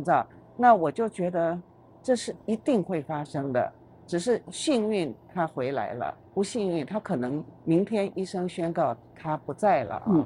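A woman speaks fairly slowly in a fairly low, dark, mellow tone. Her pitch swings very widely. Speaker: retired business executive. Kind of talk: interview conversation.

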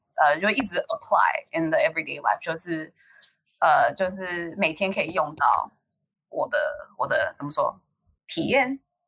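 Long, frequent pauses break up a woman's speech, which otherwise goes at a moderate pace. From United States. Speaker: college student. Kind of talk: casual chat. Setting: online call.

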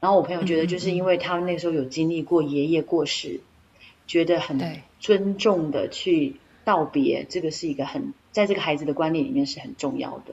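A woman's fairly low pitch and lively intonation at a fairly quick pace, in a Taiwanese accent. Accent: Taiwanese Mandarin. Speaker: podcast co-host. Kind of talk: casual chat.

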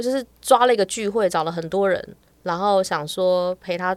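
A woman speaks in a normal speaking voice at a moderate pace, with ordinary pitch variation and a dry, close sound that has no echo. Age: 40s. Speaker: astrologer. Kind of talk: casual chat.

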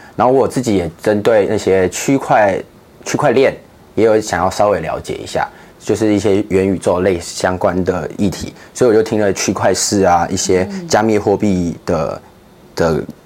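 A man talks at a moderate pace in a fairly low voice with ordinary pitch variation. Noticeable background noise is present. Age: 20s. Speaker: ministry project coordinator. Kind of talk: interview.

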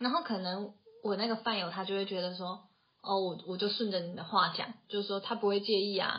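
A woman's medium-pitched voice with a Taiwanese accent, a fairly quick pace and fairly even intonation. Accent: Taiwanese Mandarin. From Taiwan, Taoyuan. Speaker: podcast co-host, tech company office worker. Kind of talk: casual chat.

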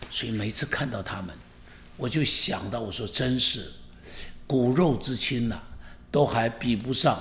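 A man of medium pitch speaks at a fairly slow pace with long, frequent pauses. The room echo is audible. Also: ordinary pitch variation. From Taiwan. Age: 70s. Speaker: pastor. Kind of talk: podcast monologue. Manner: animated.

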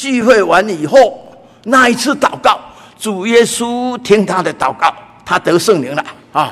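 With lively intonation, a man speaks at a high pitch and a fairly slow pace. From Taiwan, Taipei. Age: 80s+. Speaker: church elder preacher. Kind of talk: sermon. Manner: frequent filler particles.

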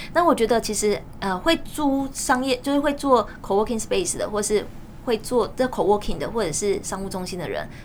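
Using an ordinary speaking voice, a woman talks at a moderate pace and fairly high pitch with lively intonation. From Taiwan, Changhua. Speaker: real estate platform CEO and author. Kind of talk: interview.

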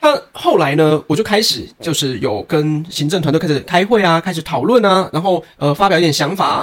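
A man's high-pitched voice with lively intonation. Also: moderate pace, hardly any pauses. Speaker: cram school science teacher and podcast co-host. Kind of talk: casual chat.

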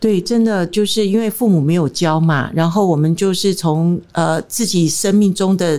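A woman with a dark, mellow tone and a fairly low pitch speaks at a moderate pace, her loudness very even, her pitch variation ordinary, and hardly any pauses. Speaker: marriage counselor. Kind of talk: interview.

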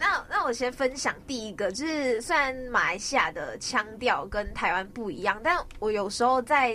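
A woman speaks with a high voice and very wide pitch swings. She leaves hardly any pauses, over noticeable background noise. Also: moderate pace. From Malaysia, Sabah. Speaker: radio host. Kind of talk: casual chat.

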